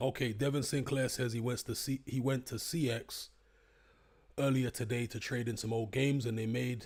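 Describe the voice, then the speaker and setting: A man talks at a moderate pace and a medium pitch. His intonation is flat and monotone, on a very clean recording with a silent background. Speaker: YouTuber live-streamer. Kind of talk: casual live stream chat. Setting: live stream. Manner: off the cuff.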